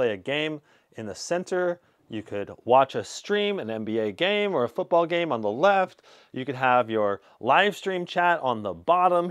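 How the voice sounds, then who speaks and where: The background is quiet as a man speaks at a fairly slow pace. His pitch swings very widely. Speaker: tech reviewer. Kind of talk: product review commentary. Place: home room. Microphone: lapel.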